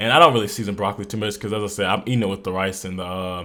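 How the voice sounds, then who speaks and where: An animated man talks at a very fast pace, his fairly low voice carrying a bright, sharp tone. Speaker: fitness vlogger. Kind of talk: voiceover narration. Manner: casual, animated.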